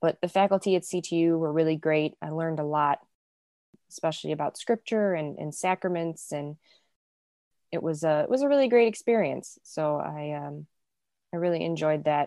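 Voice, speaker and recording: Woman with an American accent and a very deep, low pitch, dark, mellow tone, ordinary pitch variation, moderate pace and long, frequent pauses, in a dry, close sound with no echo. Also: quiet background. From US Midwest, south suburbs of Chicago. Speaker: music publishing managing editor. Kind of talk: casual interview.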